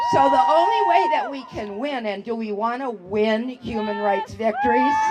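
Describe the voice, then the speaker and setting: The speaker keeps a moderate pace. Crowd noise can be heard in the background. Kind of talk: rally speech. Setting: outdoor rally with crowd, microphone and PA. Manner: animated.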